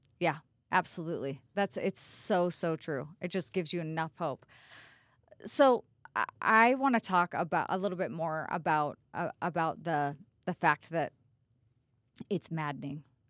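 In a very clean recording with a silent background and a dry, close sound without echo, a woman with a fairly low voice talks at a moderate pace with ordinary pitch variation and long, frequent pauses. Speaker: podcast co-host on addiction and family. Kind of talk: casual chat. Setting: studio. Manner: blunt.

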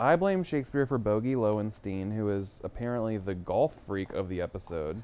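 Delivered in an ordinary speaking voice, the speech has lively intonation and a moderate pace with hardly any pauses. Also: man, fairly low pitch for a man. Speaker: podcast co-host. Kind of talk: casual banter reviewing a film.

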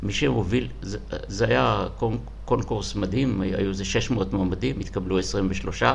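Moderate-paced speech with a slight non-native accent, audible room echo and noticeable background noise. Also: man. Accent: slightly non-native Hebrew. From Soviet Union. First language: Russian (speaking Hebrew). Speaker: school principal. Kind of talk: interview.

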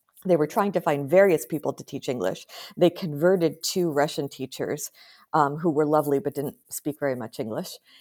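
Recorded very cleanly with a silent background and a dry, close sound with no echo, a woman with an American accent speaks at a fairly quick pace in a very deep, low pitch. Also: ordinary pitch variation. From US, small town in Pennsylvania. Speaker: historian and professor. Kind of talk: interview conversation.

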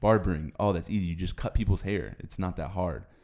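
On a very clean recording with a silent background, a man with a very deep, low voice talks at a fairly quick pace. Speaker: podcast host. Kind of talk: casual chat.

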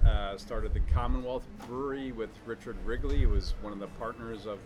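This is a man with an American accent. He talks fairly quickly. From northern New Jersey. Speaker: brewer. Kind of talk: interview. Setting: at a beer festival event.

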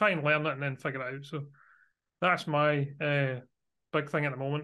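At a very fast pace, a man with a Glasgow accent talks in a fairly high pitch over a quiet background. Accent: Scottish (Glaswegian). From Glasgow, Scotland. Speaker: Azure architect and MVP. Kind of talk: casual interview chat.

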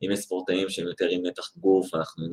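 A man speaks at a fairly quick pace. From Israel, Tel Aviv. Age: 30s. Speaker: sport psychologist. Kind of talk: interview.

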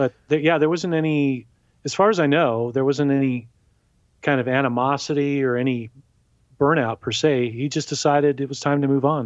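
Against a quiet background, a man in a Californian accent talks at a moderate pace and a fairly high pitch with fairly even intonation. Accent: Californian American. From Southern California (South Bay, Los Angeles). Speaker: musician. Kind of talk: interview.

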